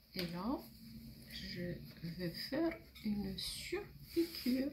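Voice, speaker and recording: A woman's fairly high voice with very wide pitch swings, vocal fry, and a very slow pace. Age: 60s. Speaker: seamstress. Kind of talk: tutorial.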